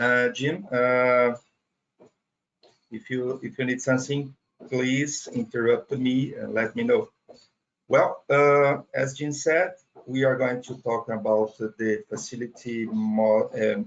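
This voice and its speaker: A man with a Portuguese accent, medium in pitch, at a very slow pace with ordinary pitch variation. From Brazil. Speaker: data center operations trainer. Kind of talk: technical webinar presentation. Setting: online webinar. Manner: halting, with fillers and repetitions.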